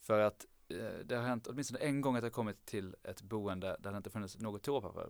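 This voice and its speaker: With fairly even intonation, a man rattles along very fast at a medium pitch. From southern Sweden (Lund, Skåne). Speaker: medical student. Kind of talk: casual chat.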